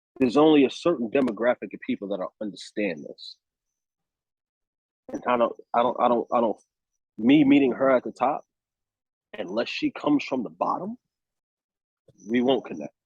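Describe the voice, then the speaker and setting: Pausing long and often, a man speaks at a moderate pace. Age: 30s. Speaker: actor. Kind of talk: casual chat. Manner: animated.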